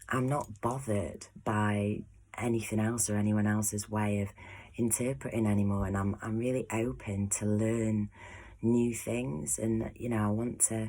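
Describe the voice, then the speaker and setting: In an English accent, a soft-spoken woman talks at a fairly slow pace with a very deep, low pitch, fairly even intonation and very even loudness, on a very clean recording with a silent background. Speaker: astrology painter and vlogger. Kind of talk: casual vlog monologue. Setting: at home behind closed door.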